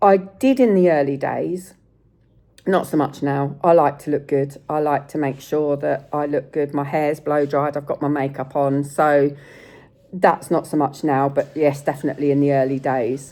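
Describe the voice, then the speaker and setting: A dark, mellow tone at a moderate pace, in an English accent. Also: woman, very deep, low pitch for a woman, fairly even intonation. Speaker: sepsis survivor vlogger. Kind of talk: casual vlog talk. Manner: occasional stutter when searching for words; hesitant, with fillers.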